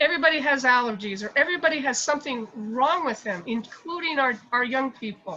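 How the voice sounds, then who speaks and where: In a raised, projected voice, a woman with a high pitch speaks with lively intonation and hardly any pauses. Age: 60s. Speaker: meeting participant. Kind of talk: testimony. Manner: halting.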